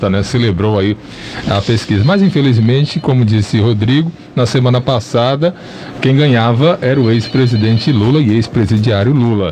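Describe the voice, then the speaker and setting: A man speaks at medium pitch and a moderate pace, with ordinary pitch variation and very even loudness. Noticeable background noise runs underneath. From Ipirá, Bahia, Brazil. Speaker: radio show co-host. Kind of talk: radio talk show.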